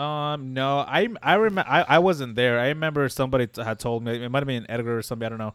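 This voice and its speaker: A man's medium-pitched voice with ordinary pitch variation and a fairly quick pace. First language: not English (English is second language). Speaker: podcast host. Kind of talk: casual chat.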